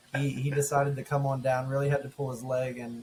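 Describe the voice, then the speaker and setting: Fairly high-pitched male voice amid noticeable background noise. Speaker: podcast co-host and golf ambassador. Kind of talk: casual chat. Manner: loud; animated.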